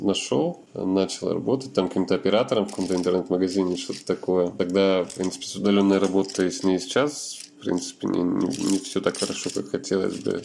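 Fairly low in pitch with ordinary pitch variation, a man talks in an ordinary speaking voice. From Russia, Yekaterinburg. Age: 30s. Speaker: wheelchair user, internet company employee. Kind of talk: interview testimony.

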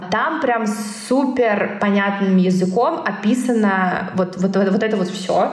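A woman's voice carries audible room echo, and noticeable background noise runs underneath it. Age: 20s. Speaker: career consultant and brand director. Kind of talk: casual interview.

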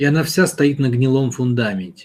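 The voice is somewhat breathy. It keeps a moderate pace. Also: man. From Russia, St Petersburg. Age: 30s. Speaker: self-development mentor answering listener questions. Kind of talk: monologue answering a listener's question. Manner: conversational, addressing listener directly.

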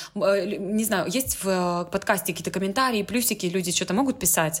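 A woman with a normal speaking voice, medium pitch and ordinary pitch variation, on a very clean recording with a silent background. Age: 20s. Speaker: business development expert. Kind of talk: casual chat.

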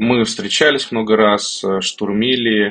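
A man's fairly low-pitched voice, a normal speaking voice, with fairly even intonation. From Kazan, Russia. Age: 30s. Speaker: tech startup founder. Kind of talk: podcast interview.

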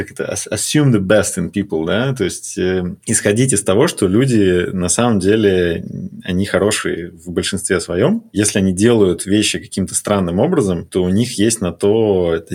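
Fairly low in pitch, a man speaks at a moderate pace. He has an ordinary speaking voice. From Russia. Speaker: corporate strategy executive. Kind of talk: casual interview chat.

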